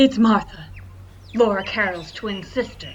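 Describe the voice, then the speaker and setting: A female-sounding put-on character voice at a medium pitch moves at a moderate pace over clear background noise. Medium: audio drama.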